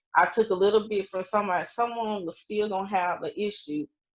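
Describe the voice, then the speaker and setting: A woman in a plain, everyday voice at medium pitch, with fairly even intonation over a quiet background. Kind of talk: casual chat.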